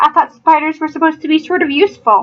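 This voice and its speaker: A woman speaks in a put-on character voice that is squeaky and extremely high-pitched, talking at a very fast pace with ordinary pitch variation. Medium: read story.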